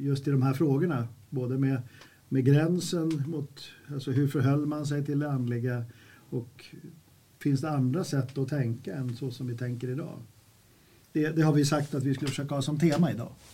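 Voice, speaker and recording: A man speaks in a fairly high pitch with fairly even intonation and long, frequent pauses. His voice is somewhat breathy, with a dark, mellow tone. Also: moderate pace. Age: 70s. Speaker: podcast host. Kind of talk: casual chat.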